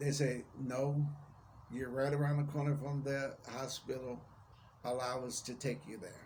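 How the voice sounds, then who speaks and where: A man talks at a medium pitch, somewhat breathy, with fairly even intonation. The pace is fairly slow, and the room echo is audible. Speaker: vlogger. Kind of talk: personal testimony vlog. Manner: careful enunciation.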